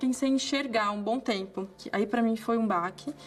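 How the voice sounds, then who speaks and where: Music plays in the background as a woman speaks at a moderate pace, her voice fairly high and her intonation fairly even. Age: 20s. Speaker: medical resident. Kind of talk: interview testimony.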